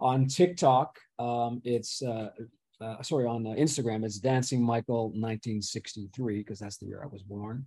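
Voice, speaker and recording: Speaking with an American accent, a man uses a medium pitch, ordinary pitch variation and a fairly slow pace. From Pittsburgh, US. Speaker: retired CEO and reality show contestant. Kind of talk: interview, casual chat.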